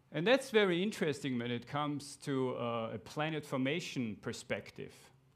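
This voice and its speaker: A man with a fairly high pitch and an Austrian accent, lively intonation at a moderate pace, on a very clean recording with a silent background. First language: German. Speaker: astronomer. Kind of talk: lecture.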